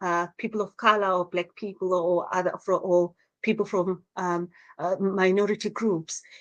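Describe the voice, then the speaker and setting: A woman with a Zimbabwean accent talks in a monotone, flat intonation. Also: quiet background. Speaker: social worker. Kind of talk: interview. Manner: halting, many repetitions.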